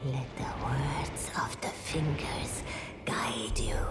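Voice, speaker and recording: Loud background noise fills the clip as a put-on character voice whispers at a very slow pace. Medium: machinima. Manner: measured, solemn.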